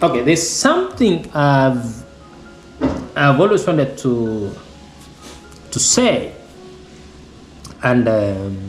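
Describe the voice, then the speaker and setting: Music plays in the background as a man speaks at a medium pitch. His pitch swings very widely, and he leaves long, frequent pauses. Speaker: parent. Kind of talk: casual talk to camera. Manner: hesitant, many fillers.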